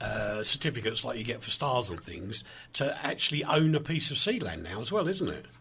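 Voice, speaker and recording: Over noticeable background noise, a man with a medium pitch speaks in very wide pitch swings. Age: 60s. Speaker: radio presenter. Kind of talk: radio interview.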